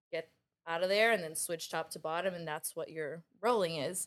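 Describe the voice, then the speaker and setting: The speaker is a woman. Her voice is fairly low in pitch. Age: 20s. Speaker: jiu-jitsu instructor and gym owner. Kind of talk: casual chat. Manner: animated.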